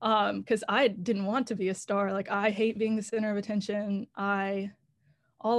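In an ordinary speaking voice, a woman with an American accent talks at a moderate pace and medium pitch against a quiet background. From North Carolina, Raleigh. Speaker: songwriter. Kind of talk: casual interview.

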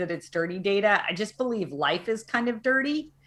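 A woman's bright, sharp voice with very wide pitch swings. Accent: American. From US South, Arkansas. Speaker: tech company CEO. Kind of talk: interview. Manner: animated, many fillers.

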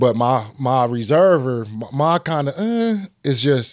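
A man with an American accent speaks with lively intonation. The recording is very clean, with a silent background and a dry, close sound with no echo. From Michigan. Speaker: sports podcast host. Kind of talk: casual chat.

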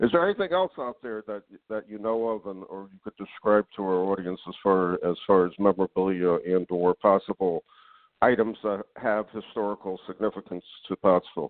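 In a plain, everyday voice, a man talks at a fairly quick pace with a fairly low pitch and fairly even intonation. His loudness swings widely. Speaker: radio host and magazine publisher. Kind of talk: radio interview. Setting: live internet radio show.

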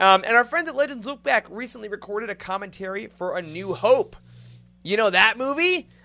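A man with an American accent speaks in a raised, projected voice at a high pitch. His tone is bright, sharp and animated, with lively intonation. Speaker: podcast host. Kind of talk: casual chat.

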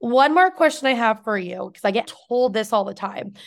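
A woman with an unremarkable speaking voice, captured in a very clean recording against a silent background. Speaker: podcast host and business owner. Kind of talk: casual interview chat.

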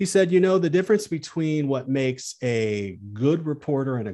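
Speaking at a moderate pace with an American accent, a man uses a dark, mellow tone, with very wide pitch swings and big swings in loudness. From US Midwest, Peoria, Illinois. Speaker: TV news correspondent. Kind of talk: interview.

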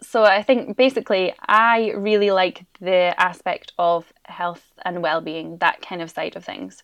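A woman's medium-pitched voice with a Scottish accent, a fairly slow pace, hardly any pauses and ordinary pitch variation. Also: big swings in loudness, quiet background. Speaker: primary school teacher. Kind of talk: interview.

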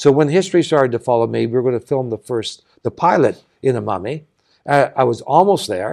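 Speaking with a Canadian accent, a man at a medium pitch moves at a fairly quick pace with lively intonation. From Canada, Saskatchewan. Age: 60s. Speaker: nonprofit founder and sailor. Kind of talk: interview conversation. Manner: halting, many false starts.

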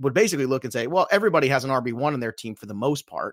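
With an American accent, a man speaks in a medium pitch, with a dry, close sound with no echo in a very clean recording with a silent background. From Brooklyn, New York. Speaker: fantasy football author and analyst. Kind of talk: casual chat.

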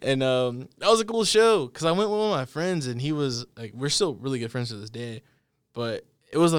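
A man talks in an unremarkable speaking voice at medium pitch. His intonation is lively. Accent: American. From Texas, Dallas area. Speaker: podcast host. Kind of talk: casual chat. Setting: studio.

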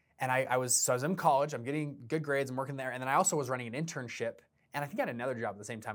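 The recording is very clean, with a silent background. A man speaks in an animated tone. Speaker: podcast host and fund entrepreneur. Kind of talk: solo podcast monologue.

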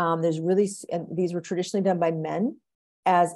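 With an American accent, a woman talks in a monotone, flat delivery at a fairly low pitch, her tone dark and mellow. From US, Oklahoma. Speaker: physician and behavior scientist. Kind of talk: interview conversation.

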